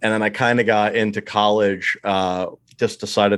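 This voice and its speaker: This man has a fairly low pitch and a monotone, flat intonation. He speaks at a moderate pace. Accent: American. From eastern Pennsylvania, US. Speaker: board game enthusiast and listener. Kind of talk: casual chat. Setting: remote call.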